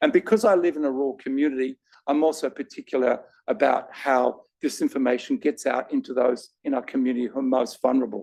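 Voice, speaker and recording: In an Australian accent, a man talks at a very fast pace, recorded with a dry, close sound and no echo. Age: 60s. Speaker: patient advocate with lived cancer experience. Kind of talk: panel discussion.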